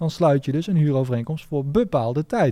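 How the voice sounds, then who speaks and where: The man's fairly high pitch carries a dark, mellow tone, recorded very cleanly against a silent background. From Netherlands, Nijmegen. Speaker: real estate lawyer and investor. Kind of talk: interview. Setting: studio. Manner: hesitant, many fillers.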